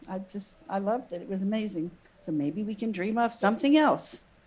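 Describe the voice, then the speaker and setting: A woman's medium-pitched, somewhat breathy voice at a fairly quick pace. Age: 70s. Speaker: church member sharing skydiving story. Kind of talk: testimony. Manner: halting.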